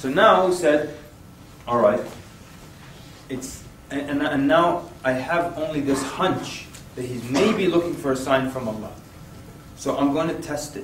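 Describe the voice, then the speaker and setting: Against noticeable background noise and audible room echo, a man with a fairly high pitch talks at a fairly slow pace with long, frequent pauses. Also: ordinary pitch variation. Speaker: Islamic preacher and workshop trainer. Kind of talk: workshop lecture. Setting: room with live audience. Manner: animated.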